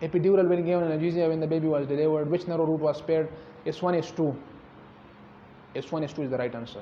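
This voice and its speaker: A man's fairly high voice at a very fast pace, with fairly even intonation, long and frequent pauses, and audible room echo. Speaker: doctor teaching exam questions. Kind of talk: lecture.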